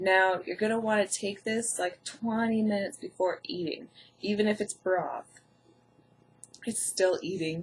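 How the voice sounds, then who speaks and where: A woman's somewhat breathy voice at a medium pitch, with ordinary pitch variation and a fairly slow pace. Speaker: health vlogger with Crohn's. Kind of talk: tutorial. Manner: casual.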